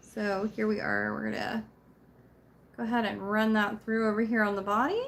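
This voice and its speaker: A quiet woman at a moderate pace, with long, frequent pauses. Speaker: crochet craft video maker. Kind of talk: craft tutorial livestream. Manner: casual, chatty.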